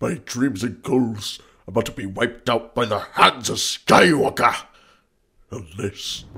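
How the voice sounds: A man puts on a cartoonish character voice at a medium pitch, speaking at a fairly slow pace. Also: ordinary pitch variation.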